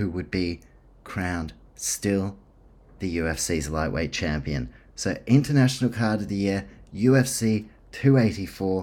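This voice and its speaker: In a very clean recording with a silent background, a man with a fairly low pitch talks at a fairly slow pace with lively intonation. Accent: New Zealand. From New Zealand. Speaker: sports podcast host. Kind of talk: solo podcast monologue. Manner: casual, many filler words.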